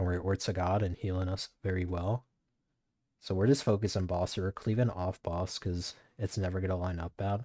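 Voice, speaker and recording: A man speaks at a very deep, low pitch in a dark, mellow, somewhat breathy voice, with monotone, flat intonation at a moderate pace. The recording is very clean, with a silent background. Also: dry, close sound with no echo. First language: not English. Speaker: gaming streamer. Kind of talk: gameplay commentary. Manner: casual, fillers.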